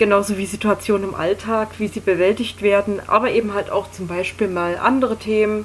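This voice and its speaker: Against noticeable background noise, a woman talks at a fairly quick pace with hardly any pauses and monotone, flat intonation. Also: medium pitch for a woman. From Berlin, Germany. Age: 20s. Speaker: podcast host. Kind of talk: casual monologue.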